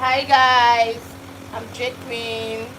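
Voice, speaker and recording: There is audible room echo and noticeable background noise. Through it, a woman speaks at a fairly high pitch. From Nigeria. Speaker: hairstylist and live streamer. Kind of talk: live stream chat. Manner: casual, chatty.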